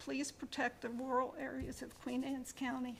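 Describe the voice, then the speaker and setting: Speaking fairly slowly with an American accent, a woman uses a high pitch. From Maryland Eastern Shore. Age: 80s+. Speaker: public commenter, farm owner. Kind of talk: public comment at hearing.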